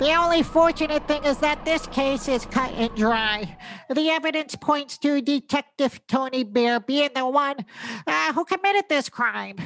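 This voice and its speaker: A woman's mumbling, put-on character voice, high-pitched and at a moderate pace. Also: dry, close sound with no echo. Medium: comedy sketch. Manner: mumbling, hesitant, giggly.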